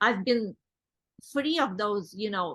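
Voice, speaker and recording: Non-native accent at a moderate pace, with ordinary pitch variation and a quiet background. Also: woman. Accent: foreign. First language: not English. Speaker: network marketing executive. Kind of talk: interview. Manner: halting.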